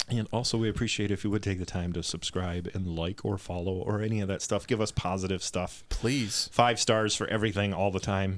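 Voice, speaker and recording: In a very clean recording with a silent background, an ordinary speaking voice moves at a fairly quick pace with fairly even intonation and hardly any pauses. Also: man, fairly low pitch for a man. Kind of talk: casual chat. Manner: joking, playful.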